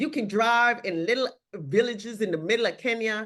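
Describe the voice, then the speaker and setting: A bright, sharp tone with lively intonation at a moderate pace. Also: woman. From Jamaica. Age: 60s. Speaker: social work professor and mental health expert. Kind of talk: casual podcast conversation.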